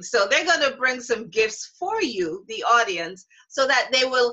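Against a quiet background, a woman speaks at a fairly slow pace in a bright, sharp tone. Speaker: show host. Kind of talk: online show presentation. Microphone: webcam.

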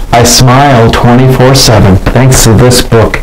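A man speaks slowly at a fairly low pitch. Faint background noise sits behind him.

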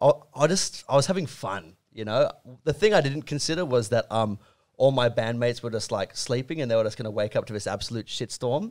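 Against a quiet background, this man moves along at a fairly quick pace. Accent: Australian. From Australia. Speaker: rock band musician. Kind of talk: casual chat. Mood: relaxed, amused. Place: studio. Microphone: studio mic.

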